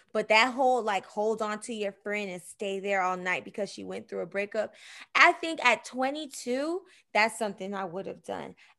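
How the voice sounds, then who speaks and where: A woman speaks in an unremarkable speaking voice, fairly high in pitch, at a moderate pace. Her intonation is lively and her loudness swings a lot. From Miami, Florida. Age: 30s. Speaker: host's sister, segment guest. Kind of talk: casual chat.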